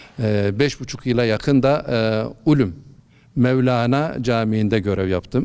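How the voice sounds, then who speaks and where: A man talks at a very slow pace in a medium pitch with ordinary pitch variation. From Malatya, eastern Turkey. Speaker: imam. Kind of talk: interview.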